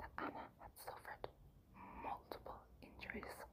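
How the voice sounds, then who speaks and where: Whispering comes from a woman. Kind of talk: ASMR true crime narration. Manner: soft-spoken, relaxing.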